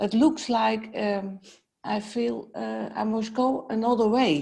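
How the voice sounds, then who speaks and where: A woman with a Dutch accent talks at a very slow pace. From Netherlands. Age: 70s. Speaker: healer. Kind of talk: personal consultation. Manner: halting.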